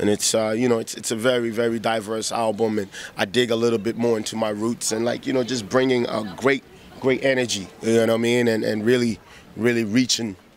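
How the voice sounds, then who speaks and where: A man with a medium pitch talks at a fairly quick pace over noticeable background noise. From Ghana. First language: Twi. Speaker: rapper. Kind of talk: interview. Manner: animated.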